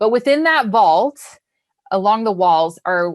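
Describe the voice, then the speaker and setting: A woman talks at a fairly slow pace with very wide pitch swings. The recording is very clean, with a silent background. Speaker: bank financial literacy educator. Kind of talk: educational presentation. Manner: casual, frequent um fillers.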